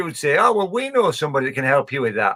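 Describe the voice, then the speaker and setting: In a strong Yorkshire accent, a man speaks very fast in a raised, projected voice with a bright, sharp tone and very wide pitch swings. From northern England, Leeds, West Yorkshire. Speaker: pilot. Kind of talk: interview.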